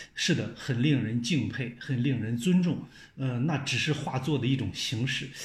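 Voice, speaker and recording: A man's medium-pitched, somewhat breathy voice at a moderate pace, ordinary pitch variation, and audible room echo. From China. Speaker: television journalist. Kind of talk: casual chat.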